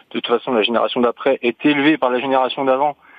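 A man's normal speaking voice at medium pitch, moving at a fairly quick pace. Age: 30s. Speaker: soldier. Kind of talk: radio call-in.

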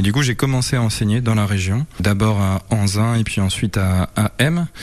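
A man speaks at a fairly low pitch with ordinary pitch variation. Noticeable background noise runs behind him. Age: 30s. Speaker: video game studio co-founder. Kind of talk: interview.

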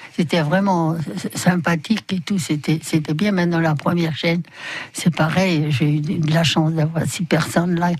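Noticeable background noise sits behind a woman with a fairly low pitch. She keeps a moderate pace and fairly even intonation. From Poland. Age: 80s+. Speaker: bicycle shop owner. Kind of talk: radio interview. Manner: halting.

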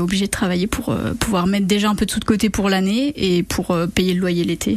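Noticeable background noise sits behind a woman's voice of medium pitch. She talks at a fairly quick pace. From western France (Charente). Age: 20s. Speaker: master's student and summer camp leader. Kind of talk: radio interview. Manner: hesitant, with many fillers.

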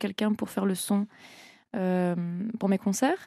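At a moderate pace, a woman with a medium pitch speaks in a dark, mellow tone and monotone, flat intonation, on a very clean recording with a silent background and a dry, close sound with no echo. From France, Annecy (Haute-Savoie). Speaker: singer. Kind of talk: radio interview. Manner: hesitant, many fillers.

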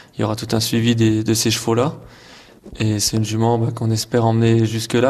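At a moderate pace and medium pitch, a man talks in a flat, monotone way. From eastern France, Haute-Saône. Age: 20s. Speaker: show jumping rider. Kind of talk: interview.

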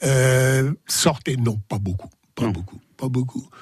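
Music plays behind a man whose voice sits fairly high in pitch. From Sens, Burgundy, France. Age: 80s+. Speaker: guest, retired author of memoir. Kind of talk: radio interview. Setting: studio.

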